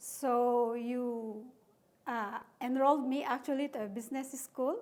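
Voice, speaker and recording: A woman's high voice, fairly slow, with monotone, flat intonation. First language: not English; English is her third language. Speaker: company administrator. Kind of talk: interview conversation.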